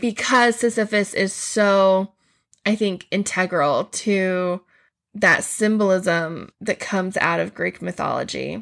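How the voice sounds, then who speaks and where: A woman's medium-pitched voice at a very slow pace, fairly even in intonation, on a very clean recording with a silent background. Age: 40s. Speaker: teacher / mythology podcast host. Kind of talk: educational podcast monologue.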